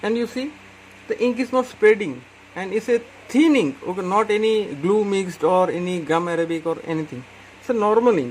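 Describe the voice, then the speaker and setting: A man speaks with an Indian accent at a high pitch and a fairly quick pace. His intonation is lively, and there is noticeable background noise. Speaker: calligraphy tutor. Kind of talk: tutorial.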